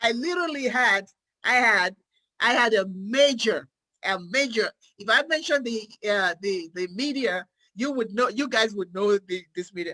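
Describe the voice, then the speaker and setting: Her tone animated and her intonation lively, a woman with an African accent speaks at a moderate pace and a fairly high pitch. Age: 50s. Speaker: psychiatric nurse practitioner. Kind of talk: motivational talk.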